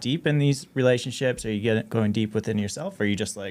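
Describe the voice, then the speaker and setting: Speaking at a fairly quick pace, a man with a slight Canadian accent uses a medium pitch and ordinary pitch variation. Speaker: DJ and marketing expert. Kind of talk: casual interview chat.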